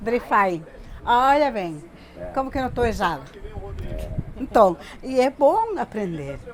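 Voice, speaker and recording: Over noticeable background noise, a woman with a Bolivian accent speaks at a fairly slow pace, her pitch swinging very widely, with long, frequent pauses. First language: Spanish (speaking Portuguese). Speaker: interviewee, Bolivian migrant. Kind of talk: interview. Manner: halting, repeats words.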